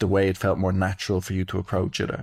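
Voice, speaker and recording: A man with an Irish accent, fairly low-pitched, at a very fast pace, on a very clean recording with a silent background. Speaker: podcast host, breathwork practitioner. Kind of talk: casual chat.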